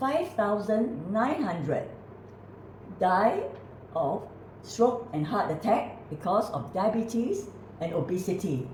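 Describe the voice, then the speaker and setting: Over noticeable background noise and audible room echo, a woman with a medium pitch speaks very slowly with long, frequent pauses and very wide pitch swings. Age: 80s+. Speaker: natural health author and presenter. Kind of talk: casual conversation.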